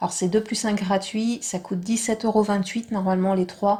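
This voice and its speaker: Soft-spoken, a woman talks at a fairly quick pace with flat, monotone intonation. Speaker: vlogger. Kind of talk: tutorial.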